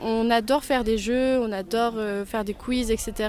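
Fairly even intonation from a woman's fairly high voice, noticeable background noise behind it. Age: 20s. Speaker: student, neighbourhood quiz organiser. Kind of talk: interview.

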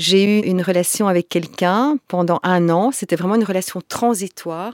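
A woman speaks slowly in a plain, everyday voice, fairly slow pace, medium pitch and ordinary pitch variation, with a dry, close sound and no echo. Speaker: tantra masseuse and workshop facilitator. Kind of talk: interview conversation.

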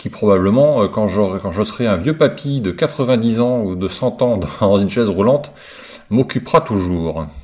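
The intonation is lively as a man speaks at a moderate pace. His pitch sits fairly low. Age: 50s. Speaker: listener contributor sharing a personal testimony. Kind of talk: recorded monologue testimony. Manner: halting, many hesitations.

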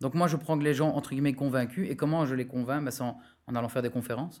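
A man talks at a very fast pace with a fairly high pitch and ordinary pitch variation. The recording is very clean, with a silent background. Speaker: digital marketing entrepreneur. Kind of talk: interview conversation.

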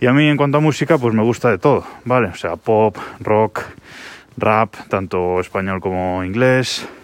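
A man with an unremarkable speaking voice talks at a fairly slow pace. His pitch is fairly low, with ordinary pitch variation. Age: 30s. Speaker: podcaster. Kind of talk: casual monologue.

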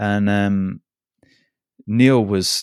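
This man speaks with a Scottish accent at a fairly low pitch. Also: very clean recording, silent background. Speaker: podcaster. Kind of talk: casual interview chat.

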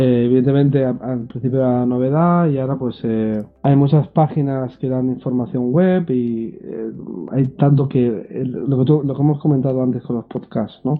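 A man has a normal speaking voice, with medium pitch, a moderate pace and hardly any pauses. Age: 30s. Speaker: system administrator and blogger. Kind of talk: interview.

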